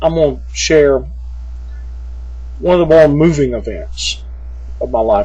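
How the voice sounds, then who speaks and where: A man with a Southern US accent speaks at a moderate pace, pausing long and often. Noticeable background noise and audible room echo fill the recording. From US South, small town. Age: 40s. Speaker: vlogger. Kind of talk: personal vlog. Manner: halting, many fillers.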